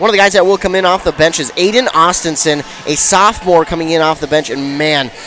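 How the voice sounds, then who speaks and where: Amid noticeable background noise, a man with an American accent speaks at a fairly quick pace with ordinary pitch variation. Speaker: radio sports play-by-play announcer. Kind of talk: pregame sports broadcast commentary.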